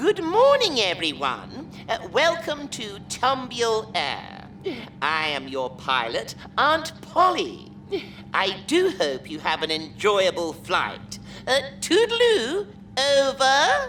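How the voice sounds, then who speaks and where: Over clear background noise, a woman uses a put-on character voice at a very slow pace. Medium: read story. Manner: prim, polite.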